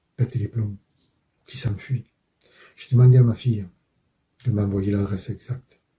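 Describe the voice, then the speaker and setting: The tone is dark and mellow, with fairly even intonation. The pace is moderate, broken by long, frequent pauses. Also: man, medium pitch for a man. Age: 60s. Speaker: father and truck driver. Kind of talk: testimony.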